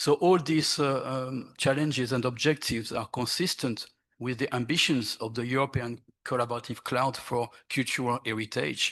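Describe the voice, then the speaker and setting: With a French accent, a man speaks at a moderate pace and a medium pitch. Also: quiet background. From France. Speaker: archaeologist. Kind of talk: conference panel presentation. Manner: halting, many fillers.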